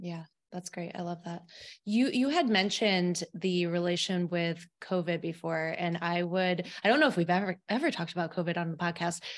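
A woman with an American accent has an unremarkable speaking voice, fairly low in pitch, with ordinary pitch variation at a moderate pace. The recording is very clean with a silent background. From Albany, New York. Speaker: podcast host and dietitian. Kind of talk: interview.

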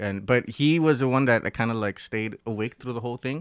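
Speaking at a fairly quick pace with a Southern Californian accent, a man at medium pitch shows ordinary pitch variation, the sound dry and close with no echo on a very clean recording with a silent background. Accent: Southern California American. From Los Angeles, US. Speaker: musician. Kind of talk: casual chat. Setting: studio.

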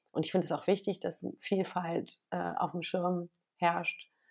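A woman's delivery is flat and monotone. She speaks extremely slowly. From western Germany, Bergisches Land (Wermelskirchen). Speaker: journalist and TV presenter. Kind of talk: casual interview. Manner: hesitant, many fillers.

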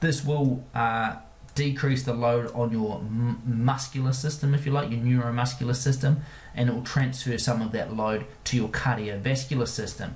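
The speaker keeps a monotone, flat intonation and a moderate pace, with an Australian accent. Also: man, medium pitch for a man. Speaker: podcast host and performance coach. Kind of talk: podcast monologue and Q&A answers. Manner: friendly, conversational.

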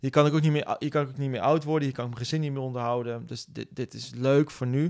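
A man races through his words at a very fast pace, captured in a very clean recording against a silent background. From Netherlands, Nijmegen. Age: 40s. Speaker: bootcamp business owner. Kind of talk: interview. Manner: energetic; halting, many repetitions.

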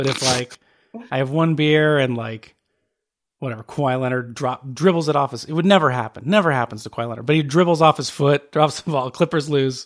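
A man with fairly high pitch and a plain, everyday voice speaks at a fairly quick pace in an American accent, with ordinary pitch variation. The recording is very clean with a silent background, dry and close with no echo. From Phoenix, Arizona. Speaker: podcast co-host. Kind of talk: casual chat.

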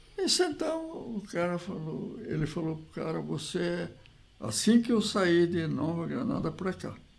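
Noticeable background noise fills the recording. A man delivers his words at a fairly slow pace. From Brazil, Piracicaba (São Paulo interior). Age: 80s+. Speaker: retired agronomist, former basketball player. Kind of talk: interview, reminiscing.

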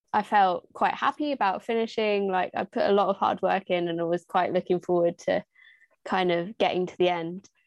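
A southern English accent at a moderate pace, dry and close with no echo, over a quiet background. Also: woman. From southern England, Hertfordshire. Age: 20s. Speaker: youth charity volunteer. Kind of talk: casual interview.

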